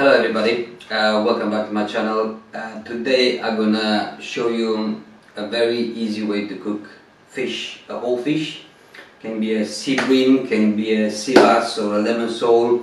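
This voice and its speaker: Male voice at a moderate pace with fairly even intonation and audible room echo. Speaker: presenter. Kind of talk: cooking tutorial. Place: kitchen.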